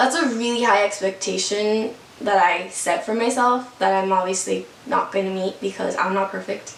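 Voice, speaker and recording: A woman at medium pitch, with audible room echo and noticeable background noise. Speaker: vlogger. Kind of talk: testimony. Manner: casual.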